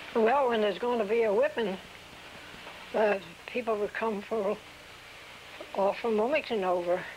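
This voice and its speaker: Speaking with an American accent, a woman uses a fairly high pitch, fairly even intonation and very even loudness at a moderate pace. Long pauses come often, and background noise is noticeable. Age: 80s+. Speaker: oral history interviewee. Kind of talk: oral history interview. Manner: halting.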